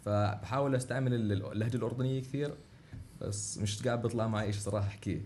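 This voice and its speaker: Somewhat breathy with a dark, mellow tone, a man speaks at a moderate pace and fairly low pitch amid audible room echo. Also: very even loudness. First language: Arabic. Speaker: international student. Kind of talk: interview. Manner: halting.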